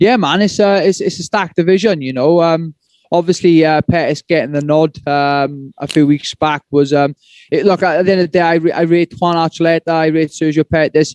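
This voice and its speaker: With a Welsh accent, a man speaks at a fairly quick pace in a fairly high voice with fairly even intonation. The sound is dry and close, with no echo. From Wales. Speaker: MMA fighter. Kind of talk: press conference answers.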